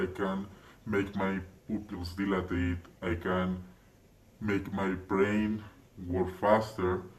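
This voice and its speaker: Through audible room echo, a man speaks in a fairly low, somewhat breathy voice. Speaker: channel owner. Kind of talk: monologue to camera.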